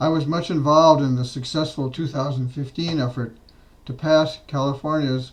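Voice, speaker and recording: A somewhat breathy male voice at a medium pitch. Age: 80s+. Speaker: widower and end-of-life law advocate. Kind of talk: prepared testimony statement.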